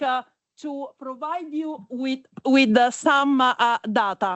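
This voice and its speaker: A high-pitched woman's voice at a very slow pace, with ordinary pitch variation. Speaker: panel moderator, deep tech investor. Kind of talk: panel moderation at conference. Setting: conference stage with audience. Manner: halting, many fillers.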